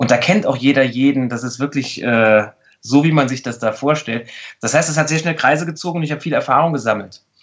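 With a plain, everyday voice, a man speaks at a fairly quick pace in a fairly high pitch with ordinary pitch variation. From Saarland, Germany. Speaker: mentalist and body language expert. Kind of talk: casual interview.

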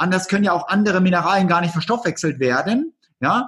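Pitched high, a man speaks at a fairly quick pace. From East Germany. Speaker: nutrition and detox practitioner. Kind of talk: casual interview. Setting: remote call.

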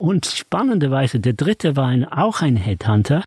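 A somewhat breathy male voice with very wide pitch swings, recorded dry and close with no echo. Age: 70s. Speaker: author and money seminar leader. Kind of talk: interview conversation.

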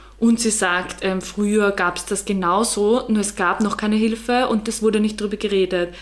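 A woman speaks at medium pitch and a moderate pace with monotone, flat intonation, very even loudness and hardly any pauses. Noticeable background noise runs underneath. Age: 20s. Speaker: photographer. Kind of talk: casual chat.

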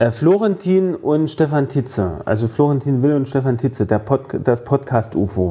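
With a dark, mellow tone and a somewhat breathy quality, a man speaks at medium pitch and a moderate pace, keeping his loudness very even while his intonation stays lively. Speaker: podcast co-host. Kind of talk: casual chat.

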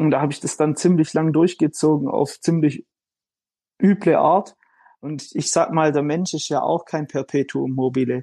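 Recorded dry and close with no echo, a man with a fairly high pitch and a dark, mellow tone speaks at a moderate pace with fairly even intonation. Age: 20s. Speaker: fitness influencer and engineer. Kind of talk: interview.

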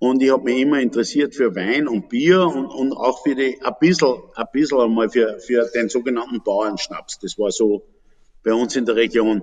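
A man speaks in an unremarkable speaking voice. His pace is fairly slow. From Upper Austria. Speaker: fruit brandy distiller. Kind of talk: casual interview.

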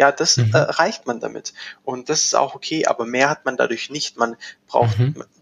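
At a moderate pace, a man with a medium pitch and ordinary pitch variation speaks in a dry, close sound with no echo. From Swabia, near Stuttgart. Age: young. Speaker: agency managing director. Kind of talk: casual interview. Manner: hesitant, many fillers.

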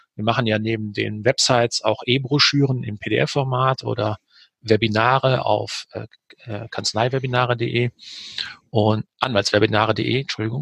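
A man at a medium pitch and moderate pace, with fairly even intonation, in a dry, close sound with no echo. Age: 50s. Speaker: publisher, managing director. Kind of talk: interview. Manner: hesitant with many fillers.

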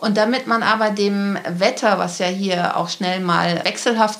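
A woman speaks fairly slowly at a medium pitch. There is noticeable background noise. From Lüneburg, northern Germany. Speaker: city centre manager. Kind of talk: interview.

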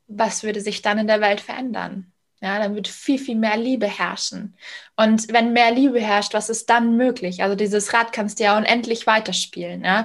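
Over a quiet background, a woman speaks at a fairly high pitch in a monotone, flat intonation. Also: moderate pace. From Bavaria, Munich area. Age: 30s. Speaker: sales coach and founder. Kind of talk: podcast interview.

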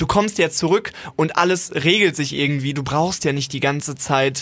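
A man with an ordinary speaking voice, ordinary pitch variation and a moderate pace. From Germany, partly Siegerland. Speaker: podcast co-host. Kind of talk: casual chat.

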